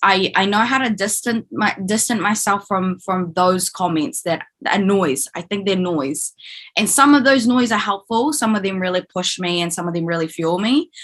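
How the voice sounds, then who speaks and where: A woman with a New Zealand accent speaks at a moderate pace in a medium pitch, her intonation lively. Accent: Kiwi. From New Zealand, Filipino (Kapampangan) heritage. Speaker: actor. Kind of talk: podcast interview. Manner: loud.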